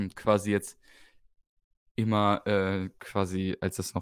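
With a dry, close sound and no echo, the man comes across on a very clean recording over a silent background. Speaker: darts podcast co-host. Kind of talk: casual chat.

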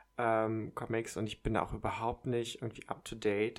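A man speaks at a medium pitch in a monotone, with flat intonation. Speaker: podcast host. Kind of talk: casual chat. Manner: quiet at times.

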